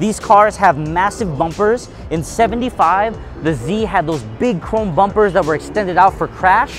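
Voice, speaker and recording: Clear music plays in the background. A man speaks with a dry sound and no echo. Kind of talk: walkaround explanation. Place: hall.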